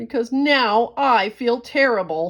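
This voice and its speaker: A woman uses a put-on character voice. She talks fairly slowly at a fairly high pitch. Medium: read story.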